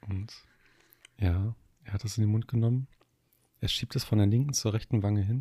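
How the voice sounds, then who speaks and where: A man speaks at a fairly quick pace with a fairly low pitch and a dark, mellow tone. His voice is somewhat breathy, broken by long, frequent pauses. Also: fairly even intonation. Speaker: podcast co-host. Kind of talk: casual chat. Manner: halting.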